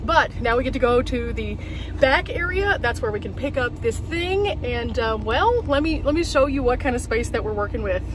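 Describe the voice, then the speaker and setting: Words come at a fairly quick pace. The sound is dry with no echo, though background noise is noticeable. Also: woman. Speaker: van life vlogger. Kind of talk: casual vlog chat. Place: car. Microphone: phone near.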